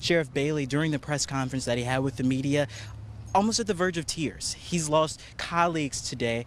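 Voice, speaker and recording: Using a plain, everyday voice, a man talks at a fairly quick pace with a fairly high pitch and ordinary pitch variation. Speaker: multimedia journalist. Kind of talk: TV news reporter. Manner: live, fluid delivery.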